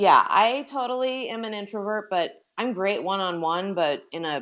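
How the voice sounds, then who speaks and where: With a slight Minnesota accent, a woman speaks at a fairly slow pace in a medium pitch. Her pitch swings very widely. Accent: slight Minnesota accent, mainly on that word. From US Midwest, Minnesota. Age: 40s. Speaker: skincare professional. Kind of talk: interview. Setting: live-streamed video interview.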